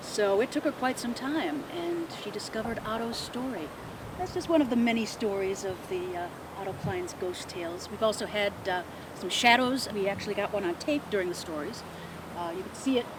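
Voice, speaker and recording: With very wide pitch swings, a speaker in an American accent talks over noticeable background noise. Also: woman, fairly high pitch for a woman, fairly quick pace. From Midwest US. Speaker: ghost tour guide. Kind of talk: ghost story telling.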